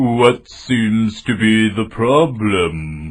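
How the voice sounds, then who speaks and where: Medium in pitch, this voice belongs to a man. He is doing a put-on character voice. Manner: slow.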